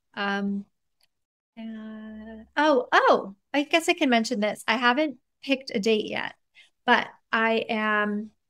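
In a very slow delivery with long, frequent pauses, a woman with an American accent speaks at a fairly high pitch in a bright, sharp tone, with ordinary pitch variation, a dry sound with no echo and a quiet background. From US, of Iranian parents. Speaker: neuroscientist and author; podcast guest. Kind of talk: podcast interview. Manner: candid and conversational, laughs often. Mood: reflective, calm. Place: home room. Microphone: earbuds.

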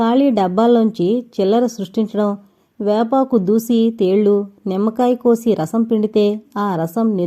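Reading in an unforced voice

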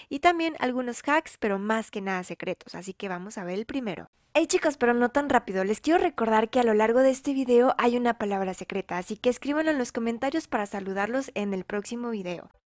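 In a very clean recording with a silent background and a dry, close sound with no echo, a woman with a fairly high pitch speaks very fast in an animated tone, with lively intonation and hardly any pauses. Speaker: Roblox gaming youtuber. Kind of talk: gameplay commentary. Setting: at home late at night. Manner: speaking quietly.

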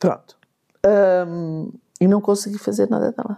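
This woman has a dark, mellow tone at medium pitch and speaks at a fairly slow pace. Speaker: mother and author. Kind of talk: casual chat.

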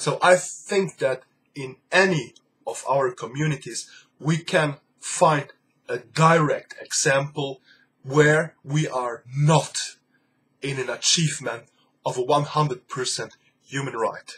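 Pausing long and often, a man speaks at a very slow pace in a fairly high pitch with fairly even intonation. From Luxembourg. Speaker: YouTuber, human rights vlogger. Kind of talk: vlog monologue. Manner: halting, frequent repetitions and fillers. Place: home room. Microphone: webcam.

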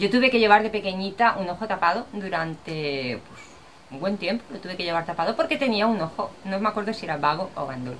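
At a fairly quick pace, a woman with a medium pitch makes very wide pitch swings and big swings in loudness over light background noise. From Spain. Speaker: vlogger. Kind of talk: casual vlog talk to camera. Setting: outdoors. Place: home room. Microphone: webcam.

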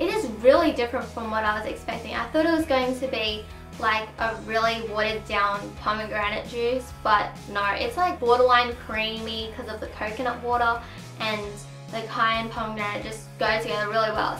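A woman with an Australian accent, fairly high in pitch with ordinary pitch variation, at a fairly quick pace amid audible room echo and faint music in the background. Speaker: vlogger. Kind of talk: casual talk to camera. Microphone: camera far.

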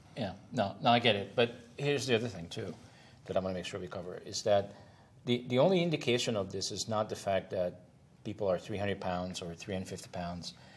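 Fairly low in pitch, a man speaks at a fairly quick pace in an unremarkable speaking voice with ordinary pitch variation. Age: 60s. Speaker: talk show host and moderator; talk show host, moderator. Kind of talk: interview. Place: studio. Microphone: lapel.

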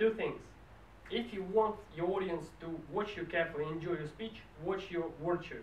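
The man's voice is high, with ordinary pitch variation. There is audible room echo and light background noise. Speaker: speech evaluator at a public speaking club. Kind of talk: speech evaluation. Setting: stage with audience. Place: meeting room. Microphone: camera far.

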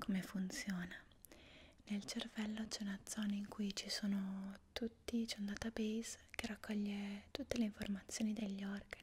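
A calm, soothing tone that is somewhat breathy carries monotone, flat intonation over light background noise. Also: woman. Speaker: asmr creator. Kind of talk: asmr whispered roleplay, soft-spoken face reflexology lesson. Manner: soft-spoken, slow, calm and soothing, whispered. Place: home room.

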